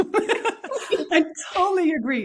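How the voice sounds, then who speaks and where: With a Dutch accent, a woman is talking. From Portugal, rural, Dutch family. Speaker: spiritual leadership guide. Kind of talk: podcast interview. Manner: halting, frequent fillers.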